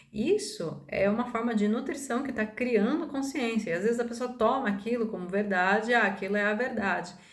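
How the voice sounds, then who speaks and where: In a room with audible room echo, a woman with a fairly high, somewhat breathy voice speaks with ordinary pitch variation and hardly any pauses. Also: moderate pace. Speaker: holistic therapist and spiritual video maker. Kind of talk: casual monologue to camera. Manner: hesitant, many fillers.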